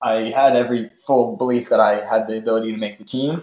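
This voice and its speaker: A normal speaking voice from a man, medium-pitched and moderately paced. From US Northeast (Rhode Island / Massachusetts border). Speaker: professional runner. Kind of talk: casual chat.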